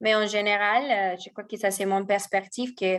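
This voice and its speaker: Over a quiet background, a woman at medium pitch speaks with a strong Spanish accent. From Mexico. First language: Spanish (speaking French). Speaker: e-commerce marketing professional. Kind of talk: guest talk answering questions. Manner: hesitant, many fillers.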